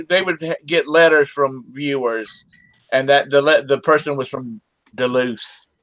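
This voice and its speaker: A man with a Southern US accent, fairly high pitch, fairly even intonation and a moderate pace, in a dry, close sound with no echo. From South Carolina (Rock Hill). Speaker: reseller. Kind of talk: casual chat.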